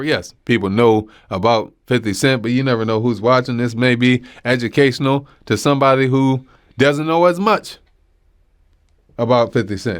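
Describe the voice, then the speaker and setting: In a very clean recording with a silent background, a man speaks at a moderate pace with a medium pitch and ordinary pitch variation. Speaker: podcast host, comedian. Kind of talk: casual comedy podcast monologue. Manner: animated.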